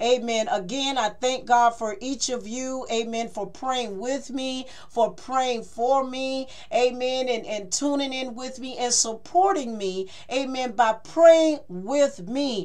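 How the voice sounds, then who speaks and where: A woman with a high pitch speaks at a very slow pace. Her loudness swings widely while her pitch varies in an ordinary way. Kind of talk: sermon. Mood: joyful, excited.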